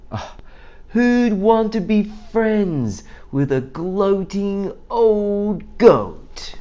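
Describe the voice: A man's put-on character voice, high-pitched, with a dark, mellow tone, big pitch swings and a very slow pace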